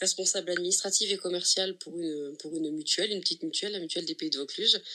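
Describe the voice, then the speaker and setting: Speaking at a very fast pace, a woman has a bright, sharp tone, medium pitch and ordinary pitch variation. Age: 30s. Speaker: patient sharing testimony. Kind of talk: testimony.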